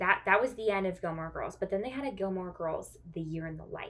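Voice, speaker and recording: A woman with an unremarkable speaking voice and a medium pitch talks at a moderate pace. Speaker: podcast co-host. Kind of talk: casual chat.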